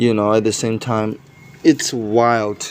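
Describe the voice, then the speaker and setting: Over music in the background, a man talks at a very slow pace and medium pitch. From Myanmar. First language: a Myanmar minority language, also Burmese. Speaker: language app user chatting. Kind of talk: casual chat. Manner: halting.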